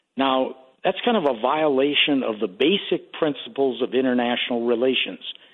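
A man speaks at a moderate pace in an ordinary speaking voice. His pitch is medium. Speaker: foreign policy analyst. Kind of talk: interview.

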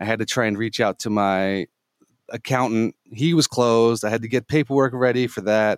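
In a very clean, dry, close recording with a silent background and no echo, a man speaks at a moderate pace with an ordinary speaking voice, medium pitch and ordinary pitch variation. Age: 40s. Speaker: gaming center owner. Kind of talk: interview.

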